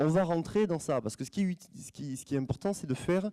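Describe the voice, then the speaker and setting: A man talks with lively intonation. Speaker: opera stage director, former singer. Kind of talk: conference talk to students. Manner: fast; halting, many repetitions.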